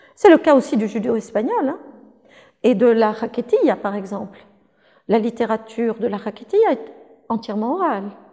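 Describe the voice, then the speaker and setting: Dark and mellow in tone, a woman's fairly high voice moves with lively intonation at a moderate pace. Long, frequent pauses break up her speech. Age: 60s. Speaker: linguistics professor. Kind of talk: interview.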